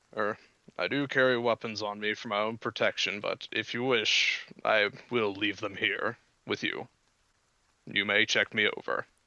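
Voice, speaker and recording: Putting on a character voice, a man speaks in a flat monotone at medium pitch. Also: moderate pace. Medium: actual play. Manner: polite, formal.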